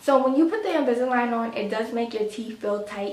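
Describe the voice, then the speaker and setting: Her fairly high pitch shows ordinary variation as the woman speaks. Noticeable background noise and audible room echo fill the recording. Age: 30s. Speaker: lifestyle vlogger. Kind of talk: casual vlog talk.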